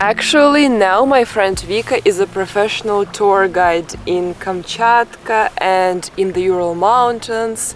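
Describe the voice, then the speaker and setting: Her loudness very even, a woman speaks at a very slow pace and a medium pitch, with ordinary pitch variation. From Russia. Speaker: travel vlogger. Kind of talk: travel vlog narration and interview.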